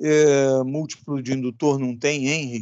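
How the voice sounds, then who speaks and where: A man talks at a medium pitch. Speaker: electronics teacher. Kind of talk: lecture. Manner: slow.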